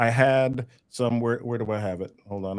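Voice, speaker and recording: Speaking at a fairly slow pace, a man with a New York accent uses a medium pitch and ordinary pitch variation. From New York City, the Bronx. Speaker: communication trainer. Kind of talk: webinar workshop. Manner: animated.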